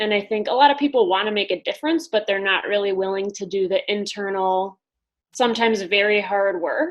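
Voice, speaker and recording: Someone speaks at a fairly quick pace with a Wisconsin accent and ordinary pitch variation. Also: woman, medium pitch for a woman. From US Midwest, Wisconsin. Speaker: business coach. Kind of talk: interview.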